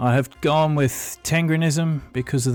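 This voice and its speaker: With an Australian accent, a man talks at a moderate pace with fairly even intonation. Music runs in the background. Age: middle-aged. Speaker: gaming let's-play creator. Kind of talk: video game commentary intro to camera.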